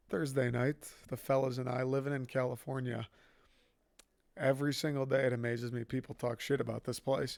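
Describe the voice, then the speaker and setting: On a very clean recording with a silent background, a man speaks at a moderate pace and a medium pitch. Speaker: sports podcaster. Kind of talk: casual chat.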